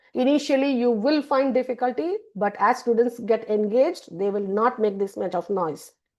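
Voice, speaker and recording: Ordinary pitch variation in a plain, everyday voice. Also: woman. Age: 60s. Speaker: university lecturer. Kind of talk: lecture.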